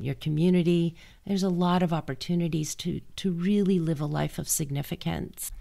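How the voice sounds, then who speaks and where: A woman speaks at a fairly low pitch with fairly even intonation. The recording is very clean, with a silent background. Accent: Californian. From US West Coast, Los Angeles. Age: 60s. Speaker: podcast host. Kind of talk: solo podcast monologue. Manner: conversational with frequent restarts.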